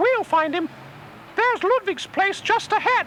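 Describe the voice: A cartoonish character voice with a bright, sharp tone, lively intonation and a fairly slow pace over faint background noise. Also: man, extremely high pitch for a man.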